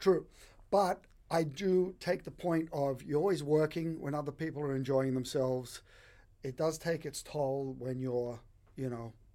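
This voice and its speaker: In an Australian accent, a man talks at a fairly slow pace with a dark, mellow tone, a fairly high pitch and ordinary pitch variation. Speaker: bartender. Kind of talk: casual interview chat.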